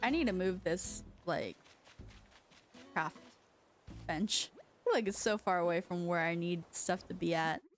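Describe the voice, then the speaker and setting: With music in the background, a woman with an American accent speaks at a fairly low pitch and a fairly slow pace, using fairly even intonation and long, frequent pauses. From China, moved to US as a child. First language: Chinese. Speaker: streamer. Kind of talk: casual gaming stream chat. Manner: chatty, filler-heavy.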